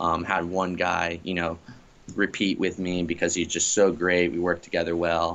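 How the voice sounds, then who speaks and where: Speaking in a flat monotone at a moderate pace, a man with an American accent has a very deep, low pitch. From US South, Florida Gulf Coast. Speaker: professional stand-up paddleboard racer. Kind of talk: casual interview. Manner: relaxed, many fillers.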